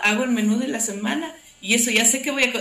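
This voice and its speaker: At a moderate pace, a woman speaks with a fairly high pitch and ordinary pitch variation. Noticeable background noise and audible room echo fill the recording. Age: 40s. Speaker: NGO operations director. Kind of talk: casual interview chat.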